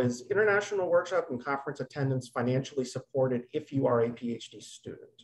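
A man speaks at a moderate pace with a fairly high pitch. His intonation is lively against a quiet background. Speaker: webinar moderator. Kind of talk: moderated webinar. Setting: video call. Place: home room. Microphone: video call.

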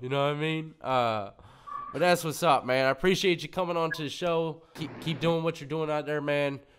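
A man talks in an American accent at a fairly quick pace. His pitch variation is ordinary. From Virginia, Hampton Roads area; Virginia. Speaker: YouTube interviewer, former prisoner; podcast host interviewer. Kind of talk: casual interview. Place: studio. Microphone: studio mic.

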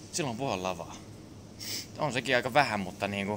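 A man talks over noticeable background noise. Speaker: vlogger. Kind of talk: casual vlog chat. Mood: loose, joking, crude. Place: shop. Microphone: phone near.

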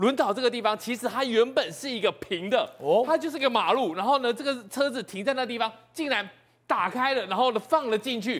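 Against a quiet background, a man speaks at a fairly quick pace. His pitch is extremely high, with ordinary variation. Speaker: TV news panelist. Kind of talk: TV current affairs panel discussion. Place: studio. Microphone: lapel.

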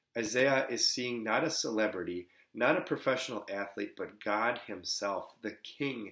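A man speaks at a fairly slow pace against a quiet background. Audible room echo surrounds his voice. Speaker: Lutheran pastor. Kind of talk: sermon. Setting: pre-recorded, delivered from another location. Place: home room. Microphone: webcam.

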